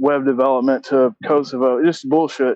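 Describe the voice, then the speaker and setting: The speaker has a Southern US accent. Intonation stays fairly even. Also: man. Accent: Southern US (Georgia). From US South, Augusta, Georgia. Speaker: former credit card fraudster. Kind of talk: interview. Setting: phone call. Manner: halting.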